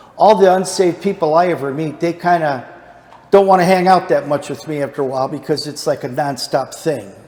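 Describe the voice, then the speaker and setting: The speaker has a normal speaking voice. The pace is fairly quick, with ordinary pitch variation. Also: man. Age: 60s. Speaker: Bible study teacher. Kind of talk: Bible study lesson.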